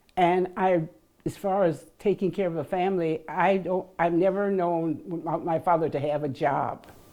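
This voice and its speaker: A woman with an American accent, fairly low in pitch, dark and mellow in tone, with fairly even intonation at a moderate pace. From US Midwest, Minneapolis. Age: 80s+. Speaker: elderly parishioner sharing life story. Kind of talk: interview testimony. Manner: halting.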